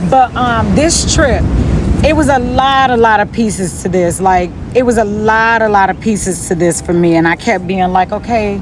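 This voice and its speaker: A woman in an American accent at medium pitch and moderate pace, with ordinary pitch variation, very even loudness, and noticeable background noise. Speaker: spiritual vlogger. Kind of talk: casual motivational talk. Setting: outdoors by the sea. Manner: animated.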